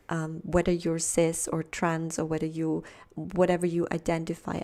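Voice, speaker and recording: A soft-spoken woman with a dark, mellow tone talks at a fairly low pitch and a moderate pace. Her intonation is monotone and flat, in a very clean recording with a silent background. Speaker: tarot reader. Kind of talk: pick-a-card tarot reading.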